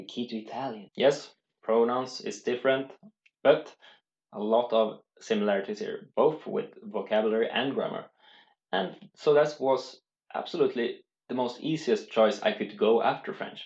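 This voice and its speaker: A man with a Swedish accent speaks at a moderate pace, his medium-pitched voice carrying lively intonation. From Sweden. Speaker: language learning youtuber. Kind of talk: casual tutorial. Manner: halting.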